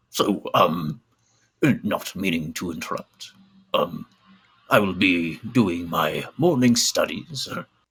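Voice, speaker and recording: At a fairly slow pace with long, frequent pauses, a man puts on a character voice at a fairly low pitch. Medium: actual play. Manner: hesitant, polite.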